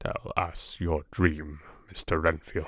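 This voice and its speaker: A man puts on a character voice, very deep and low. He speaks quietly and fairly slowly. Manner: quiet, grave.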